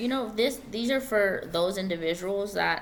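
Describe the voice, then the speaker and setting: A woman talks at a moderate pace with ordinary pitch variation. Room echo is audible around her voice. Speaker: tarot reader. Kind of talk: tarot reading. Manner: halting.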